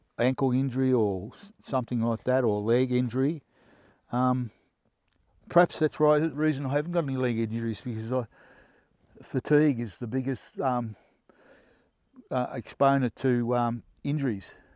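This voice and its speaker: In a dark, mellow tone, a man with an Australian accent speaks at a medium pitch and a moderate pace with ordinary pitch variation and long, frequent pauses, the sound dry and close with no echo on a very clean recording with a silent background. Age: 70s. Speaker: hunter reviewing gear. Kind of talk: casual gear review. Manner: halting, many fillers.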